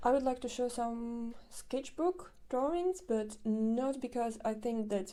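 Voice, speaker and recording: A woman with a non-native accent speaks at a fairly slow pace in a fairly high pitch, her tone dark and mellow, with ordinary pitch variation. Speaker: artist. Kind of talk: casual vlog narration. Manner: hesitant, with many fillers.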